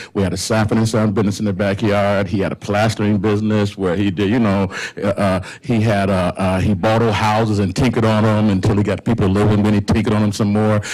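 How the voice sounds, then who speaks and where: With an American accent, a man speaks very fast in a fairly low pitch, his loudness very even and his intonation monotone and flat, amid noticeable background noise. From Indiana, US Midwest. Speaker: community organizer, pastor. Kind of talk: panel talk. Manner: halting.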